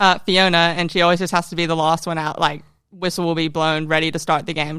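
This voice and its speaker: Very fast delivery in a bright, sharp tone, with fairly even intonation and a very clean recording over a silent background. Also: woman. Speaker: professional footballer, central defender. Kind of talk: podcast interview answers. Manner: casual, relaxed.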